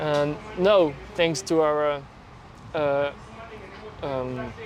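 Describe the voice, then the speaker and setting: Over music in the background and audible room echo, a man speaks at a fairly high pitch with fairly even intonation. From France. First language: French. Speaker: journalist. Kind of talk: casual interview.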